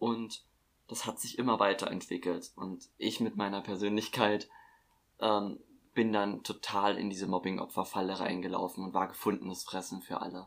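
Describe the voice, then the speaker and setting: This man talks at a moderate pace and a fairly low pitch, his intonation monotone and flat. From Saxony, Upper Lusatia. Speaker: podcast guest. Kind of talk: casual chat.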